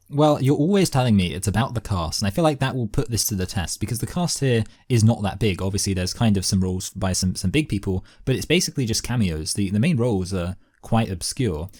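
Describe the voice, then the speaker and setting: With an English accent, a man talks at a very fast pace in a fairly low, somewhat breathy voice with lively intonation, recorded very cleanly against a silent background. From southern England. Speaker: podcast host. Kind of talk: casual chat.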